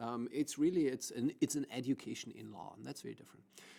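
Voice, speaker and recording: The speaker is a man. He has a German accent. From Germany. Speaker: law professor. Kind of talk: podcast interview.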